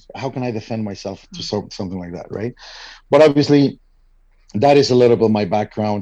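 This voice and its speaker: A man speaks with a Spanish accent. The background is quiet. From Mexico. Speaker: father starting a men's support group. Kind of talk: interview.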